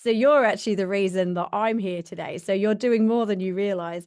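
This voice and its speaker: A woman with a British accent talks at a medium pitch over a quiet background. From UK. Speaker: podcast host. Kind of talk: interview.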